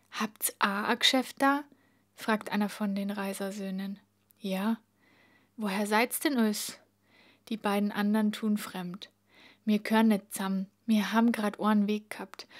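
Speaking in a Bavarian accent, a woman of medium pitch talks at a fairly slow pace with monotone, flat intonation and long, frequent pauses. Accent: Bavarian dialect in dialogue. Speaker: reader. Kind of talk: audiobook reading.

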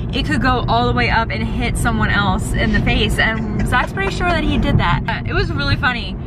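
A woman talks at a fairly quick pace with hardly any pauses. Music plays in the background, and the sound is dry with no echo. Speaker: vlogger. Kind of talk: casual vlog chat. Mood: cheerful, laughing. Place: car. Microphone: phone near.

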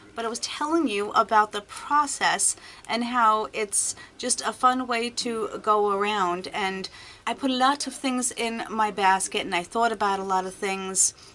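Over light background noise, a woman talks at a moderate pace in a bright, sharp tone. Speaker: beauty vlogger. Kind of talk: casual vlog chat. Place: home room. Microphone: webcam.

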